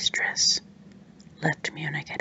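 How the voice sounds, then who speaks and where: Over noticeable background noise, a voice speaks in a whisper. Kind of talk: read story. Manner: whispered.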